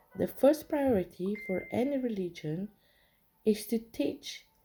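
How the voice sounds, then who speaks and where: Over music in the background, a woman speaks at a medium pitch and a fairly slow pace, with very wide pitch swings. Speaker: religious reading leader. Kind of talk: reading aloud.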